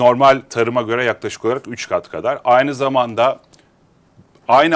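The man talks at a moderate pace with a medium pitch. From Turkey, Istanbul. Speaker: agritech company founder; guest. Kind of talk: interview. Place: studio. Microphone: lapel.

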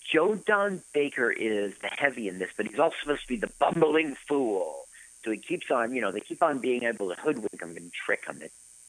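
With an American accent, a man speaks at a fairly quick pace in a medium pitch, with very wide pitch swings and vocal fry. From US East Coast. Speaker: podcast co-host. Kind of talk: casual chat. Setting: live radio broadcast.

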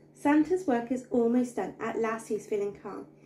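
Against light background noise, a woman with a fairly high voice speaks in a sing-song way at a moderate pace. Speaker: bedtime story narrator. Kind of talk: bedtime story reading aloud of a rhyming children's book. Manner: animated, playful storyteller with comic emphasis and sound effects; rhythmic, sing-song rhyming cadence. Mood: gentle, expressive storytelling. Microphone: phone near.

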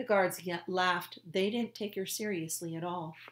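What's heard is plain reading aloud.

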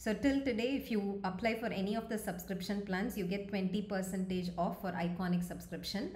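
A woman speaks at a moderate pace with fairly even intonation, and the room echo is audible. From India, Tamil Nadu. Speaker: medical lecturer. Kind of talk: online lecture. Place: home room. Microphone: phone near.

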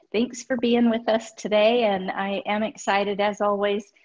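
A woman speaks against a quiet background. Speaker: guest. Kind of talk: webinar presentation. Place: home room. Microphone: webcam.

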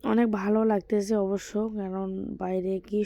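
Noticeable background noise sits behind a woman with medium pitch. Her intonation is monotone and flat. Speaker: vlogger. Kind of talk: casual travel vlog narration. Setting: outdoors, travelling by van, train and auto-rickshaw.

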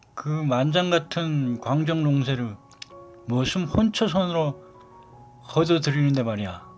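With music in the background, a man speaks very slowly at a fairly high pitch, his intonation lively. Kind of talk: dialect monologue.

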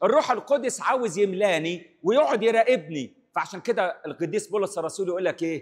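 Against a quiet background, a man is speaking. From Egypt. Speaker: priest. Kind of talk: sermon. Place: church. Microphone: handheld.

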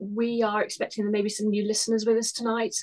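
Against a quiet background, a woman speaks with monotone, flat intonation. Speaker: webinar host, lawyer. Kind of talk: webinar introduction. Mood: warm, earnest. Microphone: webcam.

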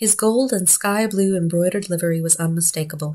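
A somewhat breathy woman at a fairly quick pace. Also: quiet background. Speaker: audiobook narrator. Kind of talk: audiobook reading of a novella. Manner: even, measured narration with shifts into character dialogue. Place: home room. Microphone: phone near.

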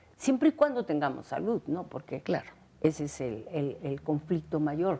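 A woman with a dark, mellow tone. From Mexico. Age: 70s. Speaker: actress. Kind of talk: interview. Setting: at her home. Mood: warm, thoughtful, sometimes laughing. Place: home room.

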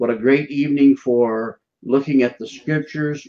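Here a man talks at a moderate pace. His intonation stays fairly even. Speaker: show host, minister. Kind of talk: broadcast show introduction. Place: office. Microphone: earbuds.

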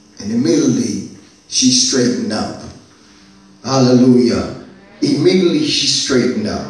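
Amid strong room echo, a man speaks at a fairly slow pace in an animated tone with very wide pitch swings. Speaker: pastor. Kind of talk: sermon / Bible teaching to a congregation. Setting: church. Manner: animated, rousing preacher's delivery with call-and-response repetition; repeats key lines for emphasis, punctuated with Amen and Hallelujah. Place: church. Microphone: camera far.

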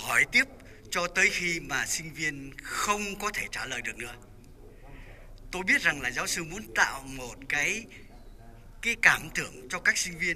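A man's high voice, fairly slow, with lively intonation, big swings in loudness, long and frequent pauses, and light background noise. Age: 80s+. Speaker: former law student, memorial organizer; former student remembering a professor. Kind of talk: memorial speech. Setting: church memorial event. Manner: hesitant with filler sounds. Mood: warm, reminiscing. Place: church. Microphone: handheld.

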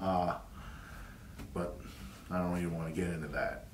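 A man with a Southern US accent speaks amid audible room echo and light background noise. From US South. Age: 50s. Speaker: YouTuber. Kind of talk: monologue. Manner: halting. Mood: earnest, opinionated. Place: home room.

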